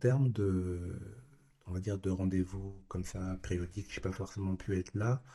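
A man speaks at a fairly slow pace in a very deep, low voice that is somewhat breathy. His intonation stays fairly even, and the recording is very clean with a silent background. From Burkina Faso, partly raised in Japan. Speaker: father. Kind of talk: casual interview.

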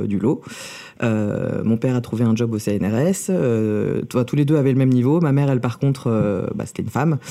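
The man's tone is dark and mellow. He talks at a fairly slow pace with ordinary pitch variation. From France, born in USSR. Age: 30s. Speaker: drag king and clown performer. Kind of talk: interview. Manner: halting.

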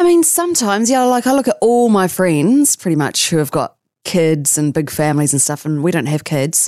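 In a New Zealand accent, a woman talks at a fairly quick pace in a fairly low voice with a dark, mellow tone, very wide pitch swings and very even loudness, on a very clean recording with a silent background. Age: 40s. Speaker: radio announcer. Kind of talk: casual chat. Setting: studio.

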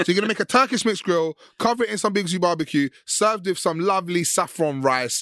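In a London accent, a man talks very fast with an animated, bright, sharp tone, on a very clean recording with a silent background and a dry, close sound with no echo. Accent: London Multicultural English. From West London. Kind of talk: casual chat.

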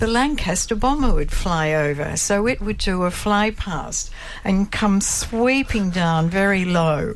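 Delivered in an Australian accent at a fairly slow pace, the intonation is lively and the loudness very even. Noticeable background noise sits behind the voice. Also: woman, medium pitch for a woman. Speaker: daughter of a war veteran. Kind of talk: radio interview. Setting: studio.

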